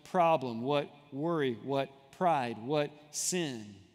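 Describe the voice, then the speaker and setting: A man speaking with music in the background. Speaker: church minister. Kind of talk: church sermon to a live congregation. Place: church. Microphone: headset.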